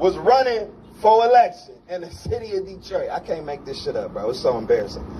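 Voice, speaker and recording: Over light background noise, a man speaks at a fairly quick pace with big swings in loudness. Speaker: speaker. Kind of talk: public speech to crowd. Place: street. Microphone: handheld.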